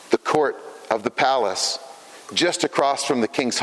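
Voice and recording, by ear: Someone reads aloud in a natural voice.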